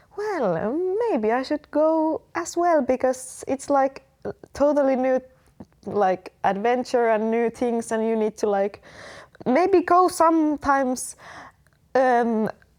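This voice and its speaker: A woman's high-pitched voice with very wide pitch swings at a very slow pace. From Finland. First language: Finnish. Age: 20s. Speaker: exchange student. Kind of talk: casual interview. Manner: halting, many fillers.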